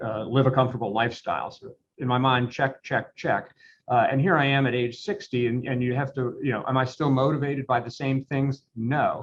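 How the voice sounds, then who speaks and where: A plain, everyday voice at a fairly quick pace, its intonation fairly even. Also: man, medium pitch for a man. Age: 60s. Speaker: law firm owner. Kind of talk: interview.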